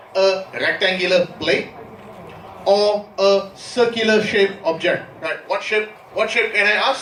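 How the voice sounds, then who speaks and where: A man with a high voice speaks over noticeable background noise, with audible echo from the room. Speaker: university lecturer. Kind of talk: lecture.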